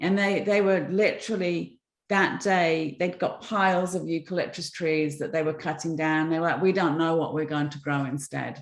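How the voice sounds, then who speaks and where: With an English accent, a woman speaks at a moderate pace in a fairly low voice, using fairly even intonation and hardly any pauses against a quiet background. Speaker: environmental entrepreneur. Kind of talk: interview talk, storytelling.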